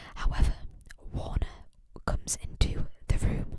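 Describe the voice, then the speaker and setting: Someone whispers at a moderate pace. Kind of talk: ASMR whispered ramble about a book series. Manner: whispered, soft.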